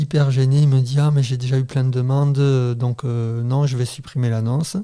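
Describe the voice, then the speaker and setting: A man's dark, mellow voice moves at a moderate pace with very even loudness and fairly even intonation. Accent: southern French. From southern France, Béziers. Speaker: father. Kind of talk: casual interview chat.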